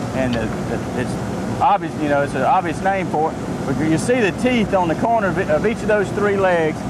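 The speech moves at a moderate pace. Loud background noise runs behind it. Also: dry sound with no echo. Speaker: fishing guide explaining rig. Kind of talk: interview answer. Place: boat. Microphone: lapel.

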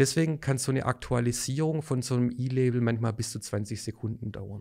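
At a fairly quick pace, a man speaks in a dark, mellow tone at medium pitch with fairly even intonation. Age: 40s. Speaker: sales manager. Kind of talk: expert interview.

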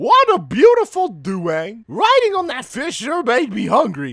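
A man's voice at extremely high pitch, with big swings in loudness and a moderate pace. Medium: fan dub. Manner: cheerful, airheaded.

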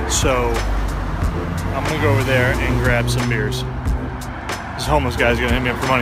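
A man speaks at a fairly quick pace with music in the background and a dry sound with no echo. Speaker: vlogger. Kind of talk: casual vlog chat. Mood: reflective, musing. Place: street. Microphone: phone near.

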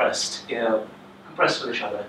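There is audible room echo and light background noise. The speaker is a man. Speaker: presenter. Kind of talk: lecture. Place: classroom. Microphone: camera far.

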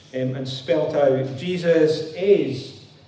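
A man's voice comes with audible room echo. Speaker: preacher. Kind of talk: sermon. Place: church.

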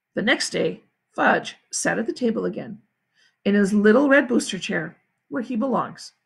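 The quiet background holds a natural reading voice that has lively intonation.

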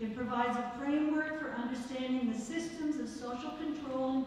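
In a room with strong echo and light background noise, a woman speaks in a high pitch with fairly even intonation. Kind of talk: announcements. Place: hall.

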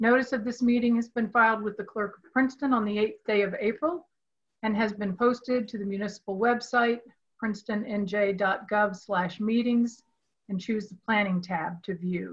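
A somewhat breathy woman's voice at a moderate pace, with fairly even intonation over a quiet background. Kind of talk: formal reading of meeting statement. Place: home room. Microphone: video call.

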